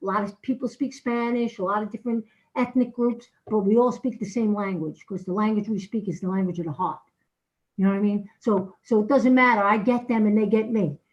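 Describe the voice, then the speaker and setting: Somewhat breathy and fairly high in pitch, a woman talks at a fairly quick pace with ordinary pitch variation. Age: 60s. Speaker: addiction recovery outreach worker. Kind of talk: public comment at council meeting. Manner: halting.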